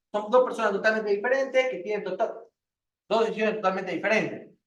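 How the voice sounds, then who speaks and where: There is audible room echo as a man talks with a high pitch and ordinary pitch variation. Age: 40s. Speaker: university lecturer. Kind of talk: lecture. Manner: fast.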